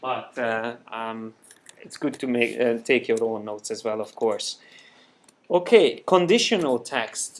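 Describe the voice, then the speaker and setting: Talking fairly slowly in a Hungarian accent, a man shows big swings in loudness. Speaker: software trainer. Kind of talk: live software tutorial class. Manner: halting, many fillers. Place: classroom.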